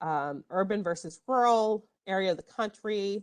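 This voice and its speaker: The woman talks at a medium pitch. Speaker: librarian. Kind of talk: tutorial. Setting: online workshop.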